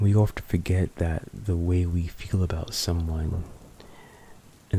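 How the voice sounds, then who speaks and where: Speaking at a fairly slow pace, a man talks in a very deep, low voice that is somewhat breathy, with monotone, flat intonation. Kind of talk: poetry reading to help sleep. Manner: soft, intimate, slow.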